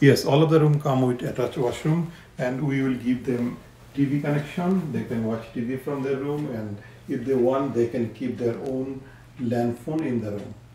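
Delivered at a moderate pace with fairly even intonation, the voice carries audible room echo over light background noise. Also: man. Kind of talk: interview answer. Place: home room. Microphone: phone near.

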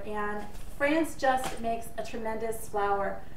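A woman speaks at a fairly slow pace, with audible room echo and light background noise. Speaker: home baking vlogger. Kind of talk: tutorial. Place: kitchen. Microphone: camera far.

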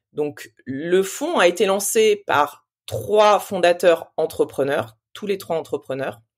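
In a very clean recording with a silent background, a woman speaks very slowly at a medium pitch with lively intonation. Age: 40s. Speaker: investment fund operating partner. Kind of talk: interview. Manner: hesitant, many fillers.

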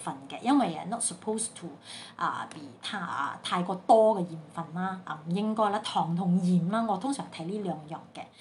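The voice moves through ordinary pitch variation over light background noise. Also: woman. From Sandakan, Sabah, Malaysia. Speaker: home baker. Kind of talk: casual Facebook live talk. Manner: chatty, code-switching with English. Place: home room. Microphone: phone near.

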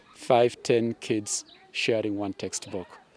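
A man's very slow, monotone delivery at a fairly low pitch, flat in intonation, dry with no echo, crowd noise behind him. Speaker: secondary school teacher. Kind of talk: interview answer. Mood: friendly, smiling, explanatory. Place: open country.

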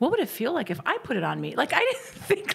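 A woman with an American accent at a fairly quick pace. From Indiana. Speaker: comedian. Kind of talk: casual chat. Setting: studio. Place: studio. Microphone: studio mic.

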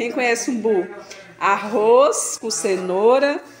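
A woman with a high pitch speaks at a very slow pace, with music in the background and audible room echo. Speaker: vlogger, daughter of the birthday woman. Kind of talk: casual vlog talk to camera. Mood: cheerful, festive. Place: kitchen. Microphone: phone near.

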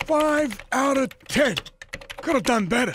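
The voice is high in pitch. It moves at a fairly slow pace. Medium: machinima. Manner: panicky, then cranky.

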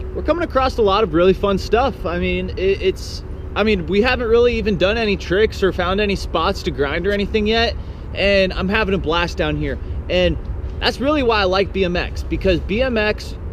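A man at a moderate pace, dry sound with no echo, light background noise behind him. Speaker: BMX vlogger. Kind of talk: casual vlog chat. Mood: relaxed, enthusiastic. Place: waterside. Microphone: phone near.

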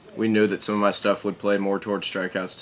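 A man with a low pitch and a fairly bright tone

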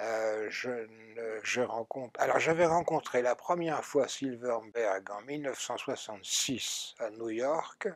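A man speaks at a very slow pace with ordinary pitch variation. The sound is dry, with no echo. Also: medium pitch for a man, quiet background. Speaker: science fiction writer and editor; interviewee. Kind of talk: interview. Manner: halting, many hesitations. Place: studio. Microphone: lapel.

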